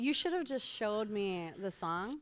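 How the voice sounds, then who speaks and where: Over background music, a woman speaks very slowly at a medium pitch with lively intonation. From northwest Indiana. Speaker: comedian and comedy club owner. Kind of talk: casual chat.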